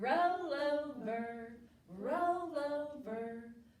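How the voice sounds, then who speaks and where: In a put-on character voice, a woman speaks at a high pitch with lively intonation and a slight echo. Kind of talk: preschool counting rhyme. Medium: read story.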